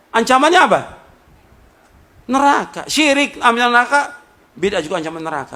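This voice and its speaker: Raising and projecting his voice, a man speaks at an extremely high pitch and a fairly quick pace. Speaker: Islamic preacher. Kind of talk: sermon. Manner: loud; emphatic, rhetorical questions.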